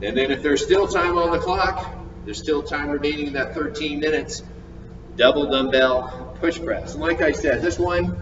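Noticeable background noise accompanies a man speaking with ordinary pitch variation. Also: moderate pace. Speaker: fitness coach. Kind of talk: tutorial. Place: gym.

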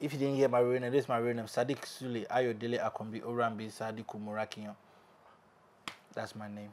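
A man with a slightly mellow tone speaks at a fairly quick pace and medium pitch, with little pitch movement.

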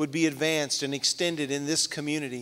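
This is a man speaking. His pace is fairly quick. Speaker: pastor. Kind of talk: sermon. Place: church. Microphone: handheld.

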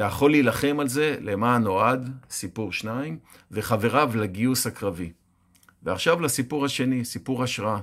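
A man talks at a moderate pace with a medium pitch and ordinary pitch variation, in a normal speaking voice. The recording is very clean, with a silent background. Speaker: youth pre-army training educator. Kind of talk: scripted personal column read aloud.

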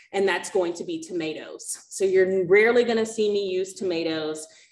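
A woman speaks with ordinary pitch variation. The background is quiet, but room echo is audible. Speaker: workshop host. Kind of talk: tutorial. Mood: friendly, laughing at times. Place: kitchen. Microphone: webcam.

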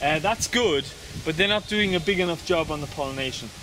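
With ordinary pitch variation, a man speaks in a dry sound with no echo, with noticeable background noise behind him. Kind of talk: casual vlog chat. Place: garden. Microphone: phone near.

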